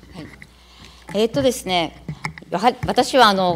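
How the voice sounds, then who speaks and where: A woman talks while music plays faintly behind her. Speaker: city council member. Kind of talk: parliamentary questioning. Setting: council chamber. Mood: indignant, critical. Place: hall.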